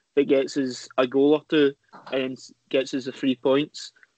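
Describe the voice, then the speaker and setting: Speaking in a Scottish accent, a man with a fairly high voice keeps a moderate pace and a flat, monotone delivery. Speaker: football podcast panelist. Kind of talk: casual chat.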